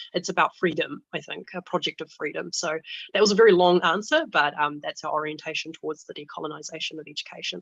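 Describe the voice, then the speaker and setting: A woman with a New Zealand accent at a very fast pace, fairly low pitch, fairly even intonation and big swings in loudness, in a dry, close sound with no echo. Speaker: student union president. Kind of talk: panel discussion.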